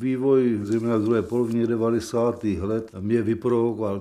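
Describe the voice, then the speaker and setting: A man's dark, mellow voice at a fairly low pitch, fairly even in intonation, with audible room echo. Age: 70s. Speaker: election candidate. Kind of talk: campaign interview.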